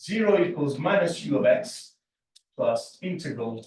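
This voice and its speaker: A man speaks in a somewhat breathy voice. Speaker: mathematics lecturer. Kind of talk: lecture.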